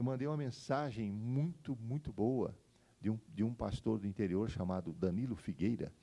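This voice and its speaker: A man's medium-pitched voice, dark and mellow in tone, with lively intonation at a fairly slow pace. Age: 60s. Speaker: pastor. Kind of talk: sermon. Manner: halting.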